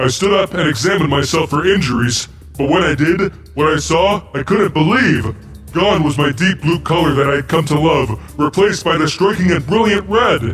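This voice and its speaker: Clear music plays behind a man doing a cartoonish character voice at a fairly high pitch for a man. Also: moderate pace. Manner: theatrical, self-satisfied.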